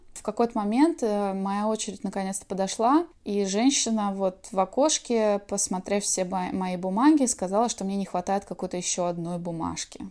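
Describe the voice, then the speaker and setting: A woman talks at a moderate pace with hardly any pauses, her medium-pitched voice dark and mellow in tone and her loudness swinging widely. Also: ordinary pitch variation, very clean recording, silent background. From Russia, Kaliningrad region. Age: 30s. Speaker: emigrant interviewee. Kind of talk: testimony.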